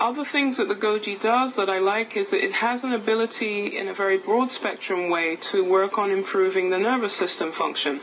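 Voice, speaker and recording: A woman with an English accent talks at a fairly quick pace with hardly any pauses, at a medium pitch with ordinary pitch variation. There is noticeable background noise. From England. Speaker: nutritionist and naturopath. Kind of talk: product talk.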